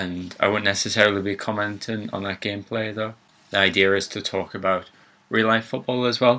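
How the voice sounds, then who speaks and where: Speaking fairly quickly with a Geordie accent, a man uses a fairly low pitch and a bright, sharp tone with monotone, flat intonation. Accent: Geordie (Newcastle). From northern England, Newcastle. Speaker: gaming YouTuber. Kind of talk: casual let's play intro.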